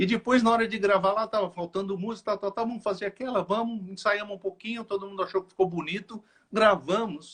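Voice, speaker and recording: With hardly any pauses, a man speaks in a high pitch with fairly even intonation and big swings in loudness. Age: 60s. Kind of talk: interview. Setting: live stream interview.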